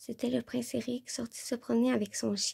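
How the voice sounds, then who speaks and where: With a dry, close sound and no echo, a woman talks at a moderate pace. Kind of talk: ASMR audiobook reading.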